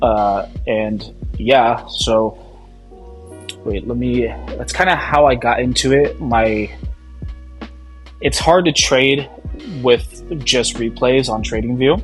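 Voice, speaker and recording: A man speaking at a very slow pace with long, frequent pauses, music in the background. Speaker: amateur futures trader. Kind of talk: casual talk to camera. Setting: poor home recording without microphone. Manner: casual, profane, hesitant.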